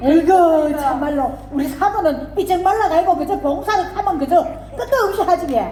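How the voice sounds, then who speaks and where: Over noticeable background noise, a woman with a North Gyeongsang accent speaks at a moderate pace in an extremely high pitch with lively intonation. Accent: Andong dialect (North Gyeongsang). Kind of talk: dialect contest skit performance.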